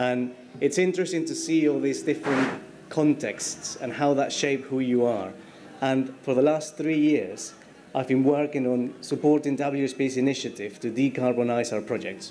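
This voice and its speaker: A man with a Spanish accent speaks with fairly even intonation. Noticeable background noise and audible room echo fill the recording. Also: medium pitch for a man, moderate pace. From Peru. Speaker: structural engineer. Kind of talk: conference talk. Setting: stage with audience.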